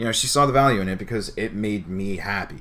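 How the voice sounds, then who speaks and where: A man's fairly quick speech with an American accent, fairly low in pitch and bright, sharp in tone, with audible room echo. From New Jersey. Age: 20s. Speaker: streamer. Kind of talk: casual chat. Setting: live stream.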